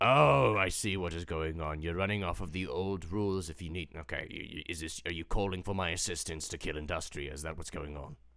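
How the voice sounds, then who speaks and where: Putting on a character voice, a man talks at a fairly quick pace in a very deep, low pitch, with hardly any pauses. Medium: actual play. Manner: weary, sighing.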